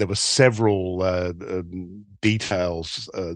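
Speaking with an Australian accent, a man with a very deep, low pitch keeps a fairly even intonation, his sound dry and close with no echo against a quiet background. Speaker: documentary filmmaker. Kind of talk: interview.

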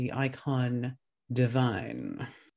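The background stays quiet. Against it, a man talks at a medium pitch. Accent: Australian. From Australia. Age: 30s. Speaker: podcast host. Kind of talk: scripted narration.

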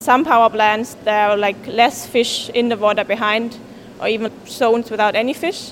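A woman's fairly high voice with a German accent, at a moderate pace, with fairly even intonation. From Germany. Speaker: master's student. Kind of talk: interview.

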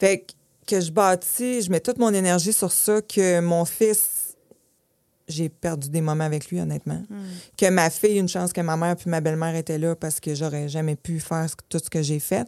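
A woman at a fairly low pitch and moderate pace, with ordinary pitch variation and big swings in loudness. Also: dry, close sound with no echo. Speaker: hair salon owner. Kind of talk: interview.

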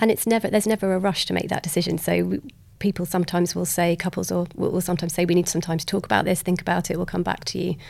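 Speaking at a very fast pace, a woman with a fairly low pitch and vocal fry keeps her intonation fairly even. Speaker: genetic counselor. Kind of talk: casual interview.

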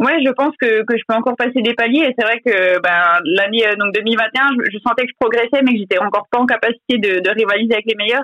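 An ordinary speaking voice talks at a fairly quick pace with hardly any pauses. The pitch variation is ordinary. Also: woman, fairly high pitch for a woman. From eastern France, Franche-Comté. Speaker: professional cyclist. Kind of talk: interview.

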